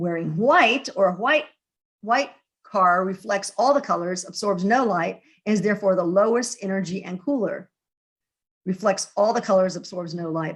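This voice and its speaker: Medium pitch and a moderate pace from a woman, her pitch varying in an ordinary way. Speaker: presenter of a research talk. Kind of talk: lecture. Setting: video call. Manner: halting.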